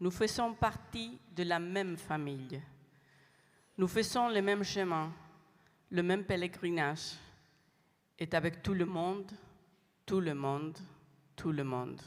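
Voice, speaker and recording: A woman's fairly low voice, with ordinary pitch variation, moves at a very slow pace broken by long, frequent pauses. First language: not French (speaking French). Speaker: international lay community representative. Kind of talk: prepared speech. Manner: halting.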